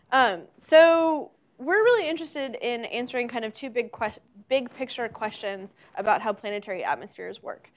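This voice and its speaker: The loudness swings widely throughout. The pace is fairly quick. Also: woman, high pitch for a woman. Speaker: invited lecturer. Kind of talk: lecture. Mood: friendly, upbeat. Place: hall. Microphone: lapel.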